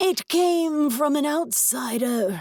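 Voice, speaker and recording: A put-on character voice with a high pitch. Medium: read story.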